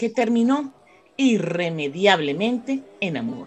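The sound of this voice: This woman speaks at medium pitch with big pitch swings. Her pace is fairly slow.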